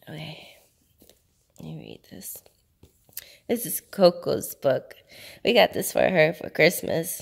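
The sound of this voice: Using a put-on character voice that is hoarse and raspy, a woman speaks at a fairly slow pace with long, frequent pauses and big swings in loudness.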